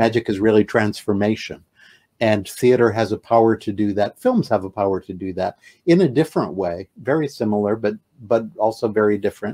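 A man with a fairly low pitch and a dark, mellow tone speaks at a fairly quick pace. His pitch varies in an ordinary way over a quiet background. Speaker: guest. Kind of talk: interview answer. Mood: reflective, animated. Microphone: video call.

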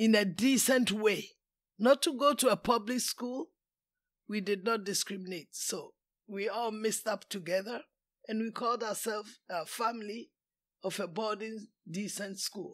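Speaking with a Ghanaian accent, a woman uses a fairly high pitch with ordinary variation, going at a fairly slow pace with long, frequent pauses, on a very clean recording with a silent background. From Kumasi, Ghana. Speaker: retired teacher, immigrant elder. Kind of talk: interview answer.

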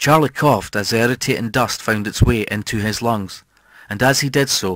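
Someone is reading aloud in a natural voice. The pitch varies in an ordinary way.

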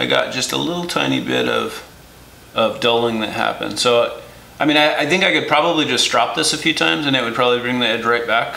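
A man's voice is heard with light background noise and audible room echo. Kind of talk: tutorial. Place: workshop. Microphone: camera far.

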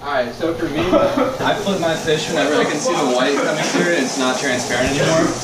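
A man talks fairly quickly with ordinary pitch variation while loud background noise fills the clip. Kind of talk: casual cooking tutorial. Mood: playful, laughing. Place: kitchen. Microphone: camera far.

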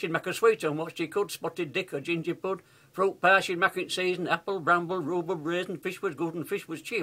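In a Yorkshire accent, a man talks at a very fast pace with a high pitch, a bright, sharp tone, and fairly even intonation. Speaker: grandfather reciting poem. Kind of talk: dialect poetry reading. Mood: warm, humorous, nostalgic. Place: home room. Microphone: webcam.

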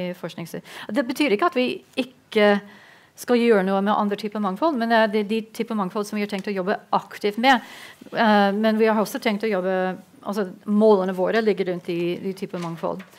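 Speaking at a moderate pace, a woman uses ordinary pitch variation. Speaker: peace research institute panelist; panelist. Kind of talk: panel debate. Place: meeting room. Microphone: headset.

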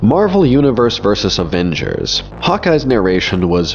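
Noticeable background noise around a man talking at a moderate pace. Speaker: comics video essayist. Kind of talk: video essay narration.

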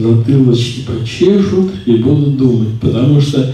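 Strong room echo surrounds a man speaking at a fairly slow pace. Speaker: spiritual teacher. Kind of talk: lecture. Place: classroom.

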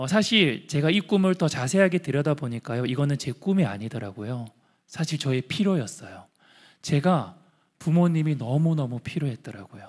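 A man talks at a moderate pace with lively intonation and a fairly high pitch. The background is quiet. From Andong, North Gyeongsang, South Korea; South Korea. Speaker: social enterprise founder; guest. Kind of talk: testimony. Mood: warm, earnest storytelling. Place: hall. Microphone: handheld.

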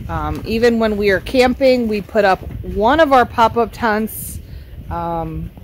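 The speech moves at a fairly slow pace. The sound is dry with no echo, over light background noise. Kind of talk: casual vlog chat. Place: street.

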